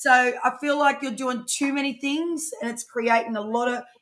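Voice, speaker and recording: This woman has a high-pitched voice. Her pitch varies in an ordinary way. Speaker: tarot reader. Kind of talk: live-streamed tarot reading. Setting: live stream. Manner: fast; casual, animated.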